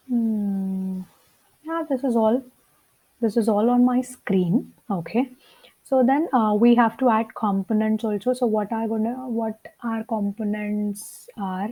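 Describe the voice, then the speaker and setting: At a fairly slow pace, the speaker has a Telugu accent and a dark, mellow, somewhat breathy tone with ordinary pitch variation. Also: woman, fairly high pitch for a woman. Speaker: coding teacher. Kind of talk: tutorial. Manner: hesitant, with many fillers.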